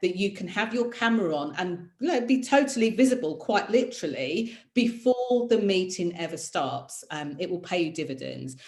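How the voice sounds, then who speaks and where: Somewhat breathy, a woman with a British accent talks in an animated tone with very wide pitch swings. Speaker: career mentor and presenter. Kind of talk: online masterclass. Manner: fast.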